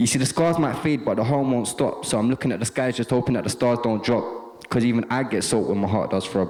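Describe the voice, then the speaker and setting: Delivered at a very fast pace with hardly any pauses, the speech keeps very even loudness and ordinary pitch variation against noticeable background noise. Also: man, medium pitch for a man. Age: young. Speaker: lived experience speaker, grew up in care. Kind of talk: spoken word poetry performance.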